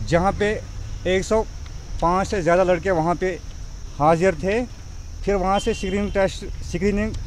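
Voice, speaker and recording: A man's high pitch in dry sound with no echo, over light background noise. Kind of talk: press statement to reporters. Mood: aggrieved, pleading. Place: open country. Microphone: handheld.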